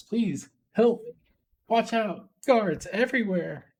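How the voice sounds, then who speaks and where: In a put-on character voice with a fairly high pitch, the speaker goes at a fairly slow pace. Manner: urgent.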